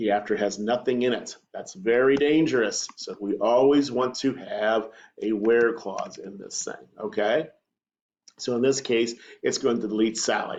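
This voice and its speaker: This man has a plain, everyday voice, pitched at a medium level. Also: ordinary pitch variation. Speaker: teacher. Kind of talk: tutorial. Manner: casual, conversational.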